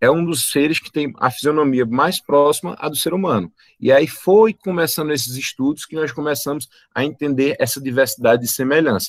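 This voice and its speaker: With a fairly high pitch and ordinary pitch variation, a man is heard in a dry, close sound with no echo. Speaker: biology teacher. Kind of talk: online lecture. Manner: fast.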